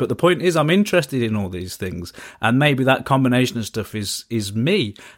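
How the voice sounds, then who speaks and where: The speaker has a British accent on a very clean recording with a silent background. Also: man. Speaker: podcast host. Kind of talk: interview conversation.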